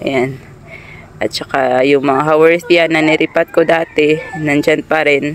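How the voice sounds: A woman with a low pitch speaks at a fairly slow pace with fairly even intonation, over faint background noise.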